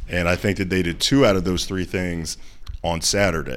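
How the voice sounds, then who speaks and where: Here is a man with an American accent. His pitch is very deep and low. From Ohio.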